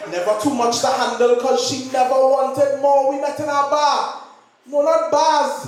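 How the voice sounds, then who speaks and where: Over noticeable background noise, a man with an extremely high pitch speaks at a fairly slow pace. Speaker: spoken word poet. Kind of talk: slam poetry performance.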